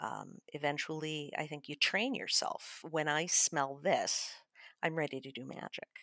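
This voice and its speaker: A woman's very deep, low voice with a bright, sharp tone and ordinary pitch variation, fairly slow, dry and close with no echo, on a very clean recording with a silent background. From Chicago. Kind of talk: tutorial; casual chat.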